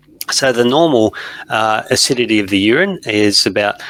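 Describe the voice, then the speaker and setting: A man's bright, sharp tone with an Australian accent, dry and close with no echo. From Australia (Perth). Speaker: veterinarian and professor. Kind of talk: interview.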